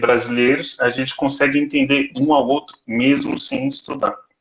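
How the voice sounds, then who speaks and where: At medium pitch, a man delivers his words fairly unhurriedly. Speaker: doctoral student. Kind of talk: casual chat.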